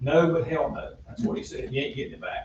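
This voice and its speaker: A man is speaking. His pace is very fast. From North Carolina, Iredell County. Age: 70s. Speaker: parade organizer and school board member. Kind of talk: public meeting remarks. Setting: town budget meeting. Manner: halting.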